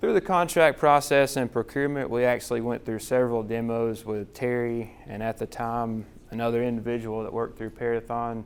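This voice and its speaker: A man with a Southern US accent, medium pitch and a moderate pace. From US South. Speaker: hospital chief financial officer. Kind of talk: conference presentation. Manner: casual, repetitive phrasing.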